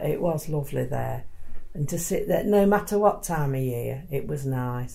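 Somewhat breathy and dark, mellow in tone, this woman's voice sits at a very deep, low pitch. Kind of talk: elder telling story. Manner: warm, chuckling, amused.

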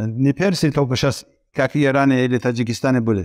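A man's pitch varies in an ordinary way over a quiet background. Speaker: Islamic lecturer. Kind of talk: religious lecture. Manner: halting. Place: studio. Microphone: headset.

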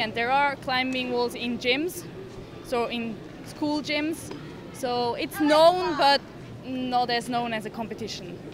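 Over noticeable background noise, a woman talks at a fairly slow pace in a high pitch with ordinary pitch variation. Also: dry sound with no echo. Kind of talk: interview answer. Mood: friendly, relaxed, smiling. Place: hall. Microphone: handheld.

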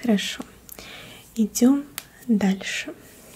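A soft-spoken woman talks at a very slow pace with ordinary pitch variation. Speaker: ASMR host. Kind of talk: soft guided instructions. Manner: soft, quiet ASMR speaking voice. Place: home room.

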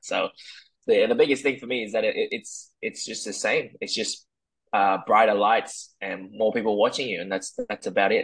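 Speaking with an Australian accent at a moderate pace, a man shows big swings in loudness. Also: quiet background. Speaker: mixed martial arts fighter. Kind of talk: interview. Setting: video call. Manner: halting, many repeated words. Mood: relaxed, calm. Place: home room. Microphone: earbuds.

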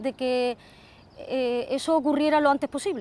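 Ordinary pitch variation in a dry recording with no echo. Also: woman. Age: 40s. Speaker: ostomy patient. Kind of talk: testimony. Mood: earnest, emotional recollection. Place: open country. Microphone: lapel.

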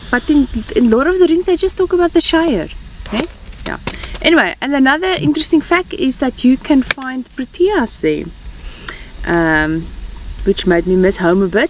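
A high-pitched woman at a moderate pace, with long, frequent pauses, a dry sound with no echo and light background noise. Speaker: travel vlogger. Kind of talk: casual vlog chat. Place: open country.

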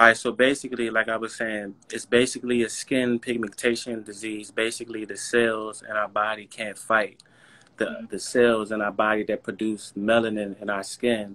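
A man's medium-pitched voice with an American accent, bright and sharp in tone, monotone and flat in intonation, at a moderate pace. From Washington DC. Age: 30s. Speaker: vitiligo model and advocate. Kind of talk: casual interview. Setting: video livestream. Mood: relaxed, reflective. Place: home room. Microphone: video call.

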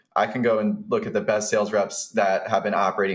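A man with an American accent speaks at a very fast pace against a quiet background. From Atlanta, US South; Georgia. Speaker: software founder, former freight broker; podcast guest. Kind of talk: interview, business talk. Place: home room. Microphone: studio mic.

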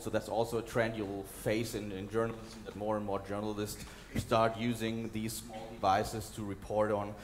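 With light background noise behind him, a man speaks at medium pitch and a moderate pace. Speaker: documentary journalist and conference speaker. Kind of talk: conference talk with slides and video clips. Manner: hesitant, fillers, repeats words. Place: hall. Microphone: headset.

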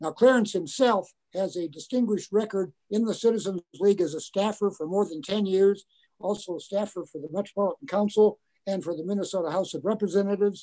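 Against a quiet background, a man talks at a fairly quick pace in a high pitch. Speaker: interview guest. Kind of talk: spoken introduction in an online meeting. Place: home room. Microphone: video call.

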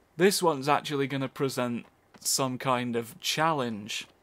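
Recorded very cleanly against a silent background, a man with a British accent talks at a fairly slow pace with ordinary pitch variation. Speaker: let's play gamer. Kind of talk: gameplay commentary. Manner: animated.

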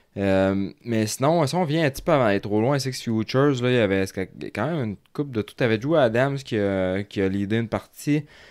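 In a Quebec accent, a man speaks at a fairly quick pace with a medium pitch. His intonation is lively, and the recording is very clean with a silent background. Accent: Québécois French. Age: 30s. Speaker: motocross coach and podcast host. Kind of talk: casual chat.

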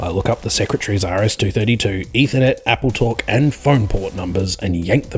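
Someone is heard. They are reading aloud in a natural voice.

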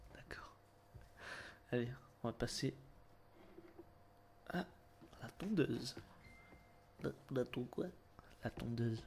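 A man is talking. Vocal fry runs through his voice. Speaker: ASMR roleplay hairdresser. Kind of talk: casual roleplay comedy banter.

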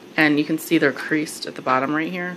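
Over noticeable background noise, a woman speaks with ordinary pitch variation. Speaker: haul vlogger. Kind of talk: casual product review chat. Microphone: phone near.

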